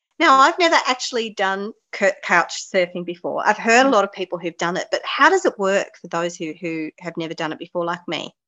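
A woman's fairly quick speech with an Australian accent, hardly any pauses and very wide pitch swings. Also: medium pitch for a woman. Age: 40s. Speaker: podcast host. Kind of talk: casual chat.

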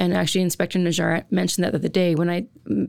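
A woman with a Canadian accent talks in a fairly low voice with vocal fry and ordinary pitch variation. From central Alberta, Canada. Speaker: college dean. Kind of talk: panel interview.

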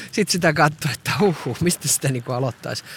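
A man's voice is heard. It rises and falls in a normal way, and the sound is dry and close with no echo. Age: 40s. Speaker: podcaster. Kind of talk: walking monologue podcast. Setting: outdoors, walking.

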